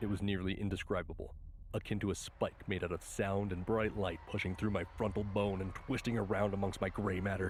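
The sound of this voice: The speaker uses an unforced reading voice. Nothing else stands out.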